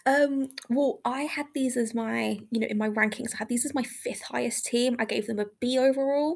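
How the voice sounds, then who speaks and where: A woman speaks in a high pitch. She leaves hardly any pauses. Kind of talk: casual chat. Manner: fast talker; animated, energetic.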